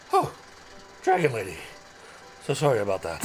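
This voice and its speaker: A man uses a put-on character voice at a medium pitch and a fairly quick pace. Clear background noise is audible. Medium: actual play. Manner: excitable, flustered.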